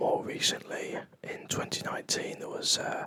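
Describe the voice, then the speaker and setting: Whispering at a fairly slow pace, the speaker has a relaxed tone. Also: man. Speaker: ASMR coin channel host. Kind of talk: ASMR coin trivia quiz commentary. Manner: whispered, soft-spoken, relaxed.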